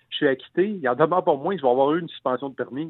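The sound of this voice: A man speaks fast with ordinary pitch variation. His pitch is fairly high, and the sound is dry and close with no echo.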